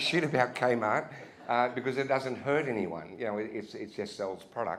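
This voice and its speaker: Lively intonation runs through the speech of a man with an Australian accent. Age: 60s. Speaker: retired retail executive, keynote speaker. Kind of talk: keynote speech. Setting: pub venue with audience. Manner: casual, halting with many restarts.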